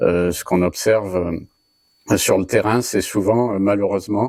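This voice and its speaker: Dark and mellow in tone, a man's fairly low voice holds fairly even intonation in a dry, close sound with no echo and a very clean recording with a silent background. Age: 40s. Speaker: cybersecurity trainer and consultant. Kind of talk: interview. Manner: halting, many filler hesitations.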